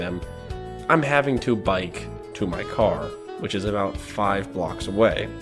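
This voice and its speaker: The speaker has an American accent and ordinary pitch variation, with music in the background. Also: man. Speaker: retail worker. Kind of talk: casual talk to camera.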